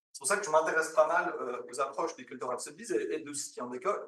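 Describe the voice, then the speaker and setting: Fairly quick male speech with audible room echo. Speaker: academic researcher. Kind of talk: conference presentation. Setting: conference with audience. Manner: fast; halting, many fillers.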